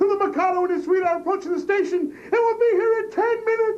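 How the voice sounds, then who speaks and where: Squeaky and extremely high-pitched, a man's put-on character voice races at a very fast pace over clear background noise. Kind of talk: comic operetta stage acting. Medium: stage play. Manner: pompous, self-important.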